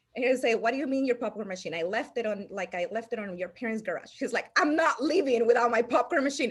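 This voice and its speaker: Talking at a fairly quick pace, a woman with a Salvadoran accent uses a high pitch and lively intonation. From El Salvador. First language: Spanish. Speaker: insurance agency owner. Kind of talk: interview storytelling. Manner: halting, many restarts.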